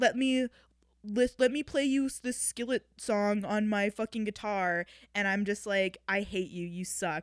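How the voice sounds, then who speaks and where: An animated voice with an American accent at a fairly slow pace, dry and close with no echo, in a very clean recording with a silent background. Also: woman. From Wisconsin. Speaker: podcast host. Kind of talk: casual monologue.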